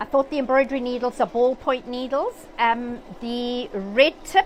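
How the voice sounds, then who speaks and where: With a South African accent, a woman speaks in a high pitch over noticeable background noise. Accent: English-speaking South African. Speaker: sewing machine educator. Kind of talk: live-stream tutorial. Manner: hesitant with fillers.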